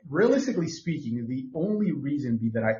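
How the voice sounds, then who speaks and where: Talking at a very fast pace, a man with a fairly high pitch sounds somewhat breathy, using lively intonation and an animated tone. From Mexico. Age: 30s. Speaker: podcast co-host. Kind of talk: casual chat.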